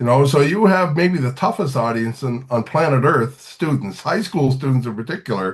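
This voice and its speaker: Speaking at a moderate pace with hardly any pauses, a man has a somewhat breathy, medium-pitched voice and lively intonation. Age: 60s. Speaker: singer-songwriter and teacher. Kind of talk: podcast interview.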